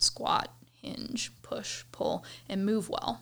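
This is a woman speaking. She has a Midwestern American accent. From US Midwest, suburbs of Cleveland, Ohio. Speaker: fitness coach. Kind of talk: casual interview.

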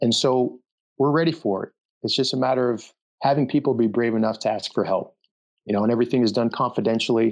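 Against a quiet background, a man talks at a very fast pace and medium pitch with fairly even intonation. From Denver, Colorado. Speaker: former special forces soldier, veterans charity director. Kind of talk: interview.

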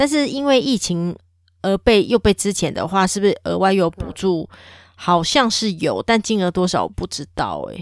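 On a very clean recording with a silent background and a dry, close sound with no echo, a woman uses a normal speaking voice at medium pitch, moderate pace and lively intonation. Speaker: podcast co-host. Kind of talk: casual chat.

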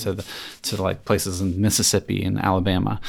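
On a very clean recording with a silent background, a man with a very deep, low pitch and vocal fry talks very fast in a monotone, flat intonation. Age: 40s. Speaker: geography professor and author. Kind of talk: interview. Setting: recorded at a conference in Quebec.

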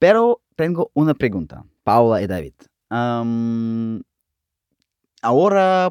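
A man speaks very slowly, his pitch swinging very widely. The recording is very clean and close, with a silent background and no echo. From Russia. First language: Russian (speaking Spanish). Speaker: Spanish language learner. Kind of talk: casual chat. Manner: halting.

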